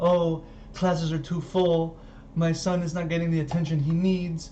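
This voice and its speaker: A whiny put-on character voice at a middle pitch, moderate pace and monotone, flat intonation, with clear background noise. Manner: upset, whiny.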